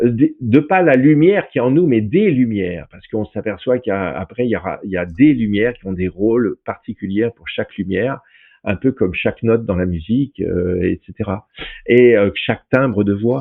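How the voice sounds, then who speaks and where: A man with a medium pitch talks at a moderate pace, using lively intonation and big swings in loudness. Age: 60s. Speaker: independent researcher and therapist. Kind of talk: in-depth interview. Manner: halting, many repetitions and fillers; animated.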